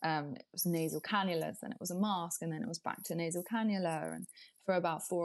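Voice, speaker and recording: A normal speaking voice from a woman with a fairly low pitch, ordinary pitch variation and fairly quick pace, over a quiet background. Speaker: beauty writer and podcaster. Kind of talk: casual interview.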